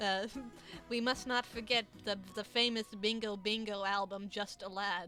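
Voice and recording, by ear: The speaker reads aloud in a natural voice. Pitch stays fairly even throughout.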